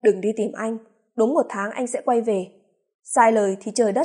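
Against quiet surroundings, the voice reads aloud in an unforced manner.

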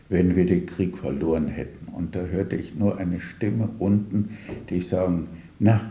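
In a room with audible echo, a man speaks at a fairly slow pace in a low pitch. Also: ordinary pitch variation.

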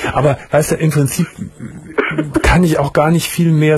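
A man's voice has a husky, rough edge and a slightly mellow tone.

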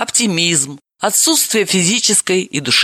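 Everything is quiet in the background. The text is read aloud in a natural voice.

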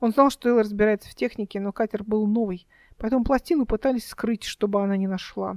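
This recording features plain reading aloud.

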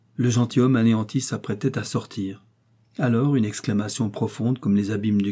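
An unforced reading voice carries the whole recording.

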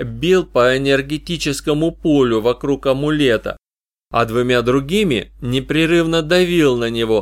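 The recording has a quiet background. The reading voice in it is unforced.

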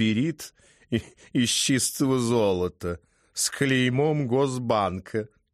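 With ordinary pitch variation, a natural reading voice carries the text.

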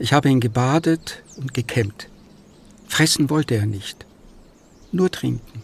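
In a put-on character voice, the speaker goes at a slow pace with vocal fry, a slightly husky edge and ordinary pitch variation. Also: man, medium pitch for a man.

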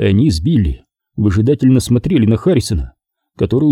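The reading voice sounds unforced. Little else is heard, as the background is quiet.

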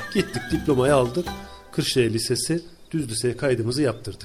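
A man with a somewhat breathy voice talks at a fairly quick pace, his intonation lively. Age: 40s. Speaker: hospital civil servant. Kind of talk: casual interview. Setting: his office.

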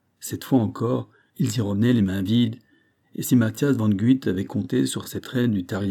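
Ordinary pitch variation shapes a natural reading voice. Behind it, the background stays quiet.

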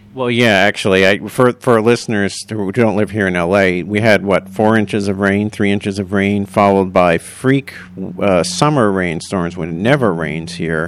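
Moderately paced with hardly any pauses, a man speaks in an unremarkable speaking voice, fairly low in pitch and with ordinary pitch variation. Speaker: podcast host. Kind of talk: casual interview.

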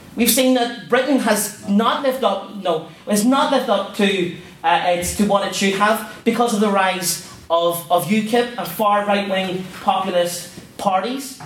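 Over noticeable background noise, a man with a high pitch speaks at a fairly slow pace with hardly any pauses and ordinary pitch variation. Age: 20s. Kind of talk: formal debate speech. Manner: impassioned.

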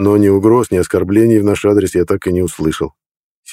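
Someone is reading aloud in a natural voice, with fairly even intonation over a quiet background.

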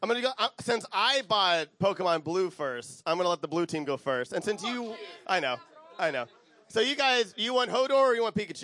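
A man's raised, projected voice carries a bright, sharp tone. He keeps a moderate pace and lively intonation. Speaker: podcast host and panel moderator. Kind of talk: live convention panel moderation. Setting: convention panel room with audience. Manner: loud; halting, stumbling over words.

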